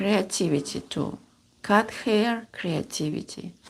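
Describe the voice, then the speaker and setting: A woman with a fairly high pitch talks at a very slow pace in a Russian accent. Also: very clean recording, silent background. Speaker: seamstress. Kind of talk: sewing vlog. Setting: home sewing room. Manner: halting. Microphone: new microphone.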